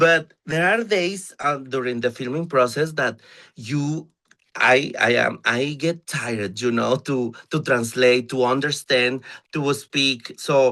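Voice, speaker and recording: With a Mexican accent, a man speaks very slowly at a medium pitch in a bright, sharp tone with ordinary pitch variation. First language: Spanish. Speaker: drag performer. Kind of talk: interview. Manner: halting.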